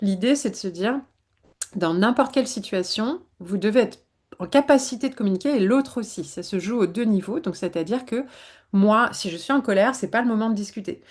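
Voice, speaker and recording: A woman's somewhat breathy, fairly high voice at a fairly quick pace, lively in intonation, against a quiet background. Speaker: psychologist. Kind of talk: webinar talk. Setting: online webinar. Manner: fast.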